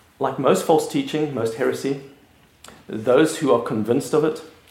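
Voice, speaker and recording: A man speaks at a moderate pace, his voice carrying audible room echo amid noticeable background noise. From South Africa. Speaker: pastor. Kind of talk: lecture.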